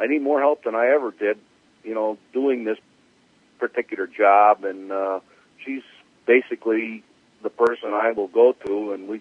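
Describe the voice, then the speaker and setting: A man at medium pitch and moderate pace, with fairly even intonation and long, frequent pauses. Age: 60s. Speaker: drag racing crew chief. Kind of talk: interview. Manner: halting, many fillers.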